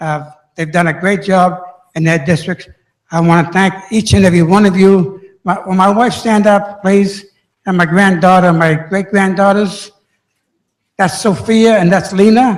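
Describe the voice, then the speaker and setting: A man with an American accent, high pitch and fairly even intonation at a moderate pace, with audible room echo. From Boston, Massachusetts. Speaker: city council member. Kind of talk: speech at council meeting. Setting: council chamber with audience. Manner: halting.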